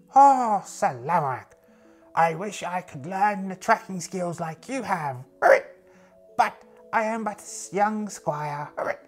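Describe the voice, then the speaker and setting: A put-on character voice that sounds female, middle-pitched and very slow, with faint music in the background. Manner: earnest, deferential.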